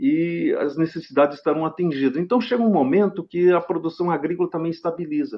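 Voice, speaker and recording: A fairly quick delivery with hardly any pauses and ordinary pitch variation. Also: man, high pitch for a man. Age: 70s. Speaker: agricultural researcher. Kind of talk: podcast interview. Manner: hesitant, with frequent fillers and repetitions.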